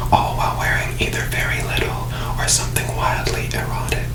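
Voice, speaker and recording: Whispering over noticeable background noise. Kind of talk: ASMR book reading, whispered relaxing narration. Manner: whispered, soft, relaxing.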